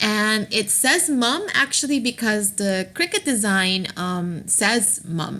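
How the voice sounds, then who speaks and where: A woman with a non-native accent speaks at a very slow pace with hardly any pauses. Her fairly high voice has a bright, sharp tone and lively intonation. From Aruba. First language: not English. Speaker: craft tutorial maker. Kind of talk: screen-recorded software tutorial.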